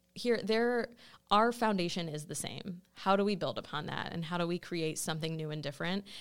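Speaking with an American accent and ordinary pitch variation, this is a plain, everyday voice. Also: woman, fairly low pitch for a woman. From Ohio, Cleveland. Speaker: podcast guest. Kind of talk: casual chat. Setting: studio.

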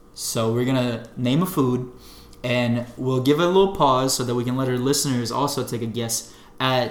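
In a room with audible echo, a man talks at a moderate pace and medium pitch with ordinary pitch variation. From Bosnia. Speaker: podcast co-host. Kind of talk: casual chat.

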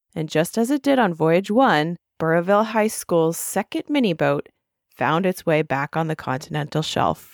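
In a very clean recording with a silent background, a woman with a plain, everyday voice speaks at a fairly low pitch and moderate pace with lively intonation. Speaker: podcast host. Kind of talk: scripted news-style report reading. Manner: brisk, even, newsreader-like delivery.

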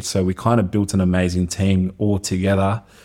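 In a monotone, flat manner, a man speaks with a very deep, low voice and a dark, mellow tone. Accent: Australian. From Colombia. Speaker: personal trainer and fitness entrepreneur. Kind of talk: casual interview chat.

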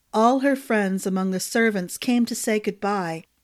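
The reading here is done in an unforced voice.

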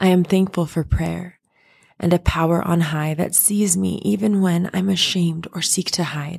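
A fairly low-pitched, somewhat breathy woman's voice with fairly even intonation, on a very clean recording with a silent background. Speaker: podcaster. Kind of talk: fervent spoken prayer, poetic and rhythmic, reading a gratitude poem aloud. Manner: earnest, devout, impassioned, slow and rhythmic cadence with heartfelt emphasis.

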